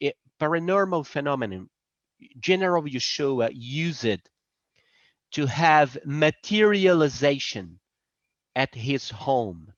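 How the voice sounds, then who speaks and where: A man with a Brazilian Portuguese accent speaks at a fairly slow pace with long, frequent pauses. His pitch swings very widely. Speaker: presenter on spirituality. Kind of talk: presentation. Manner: halting.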